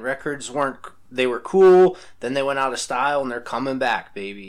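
A man speaks in a normal speaking voice at a moderate pace. His pitch variation is ordinary. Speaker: podcast co-host. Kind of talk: casual chat.

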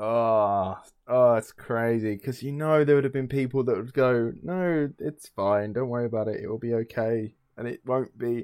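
A man with an English accent, medium pitch, moderate pace and ordinary pitch variation. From England. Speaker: podcast co-host. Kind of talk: casual chat. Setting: remote call.

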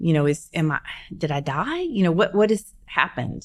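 Speaking at a fairly quick pace, a woman has an unremarkable speaking voice with an American accent. Her pitch is fairly low, with ordinary pitch variation. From US South, Shreveport, Louisiana. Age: 50s. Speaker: bombing survivor and CEO. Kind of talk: interview storytelling. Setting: studio.

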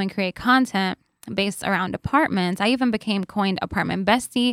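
In a very clean recording with a silent background and a dry, close sound with no echo, a woman with an American accent speaks fairly quickly in a plain, everyday voice at a medium pitch, with ordinary pitch variation. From New York. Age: 30s. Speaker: content creator and entrepreneur. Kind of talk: interview conversation. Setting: studio.

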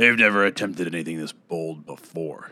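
Using a put-on character voice, a man speaks at a fairly quick pace in a raspy, very deep, low pitch. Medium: read story. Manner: terse, deferential.

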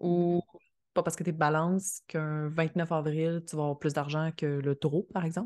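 A woman's fairly low voice at a moderate pace, the sound dry and close with no echo, over a quiet background. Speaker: astrologer. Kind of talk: casual chat. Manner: calm.

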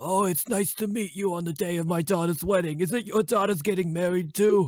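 A man puts on a raspy, guttural character voice at a high pitch, speaking at a fairly quick pace with fairly even intonation. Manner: gruff, comedic.

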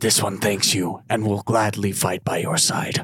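A man speaks at a moderate pace in a raspy put-on character voice with fairly low pitch. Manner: grim, formal, menacing.

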